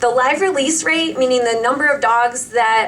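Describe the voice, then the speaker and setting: Speaking at a fairly quick pace with fairly even intonation, a woman with an American accent has a high voice, heard over noticeable background noise. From Cleveland, Ohio. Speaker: teacher speaking at public comment. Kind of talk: public comment at county commissioners meeting.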